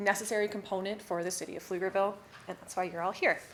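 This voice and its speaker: A woman races along at a very fast pace while noticeable background noise carries on behind her. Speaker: city secretary giving staff training. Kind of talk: training presentation.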